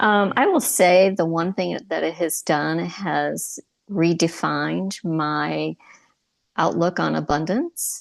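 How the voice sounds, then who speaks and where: Her delivery is very slow. Little else can be heard around this woman, as the background is quiet. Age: 60s. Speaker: retiree, divorce podcast host. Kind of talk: interview podcast.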